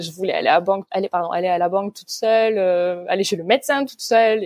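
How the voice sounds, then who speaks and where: A normal speaking voice is heard here, its pitch moving in a typical way. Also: woman. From Provence, France. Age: 30s. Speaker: student teacher. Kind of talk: casual interview.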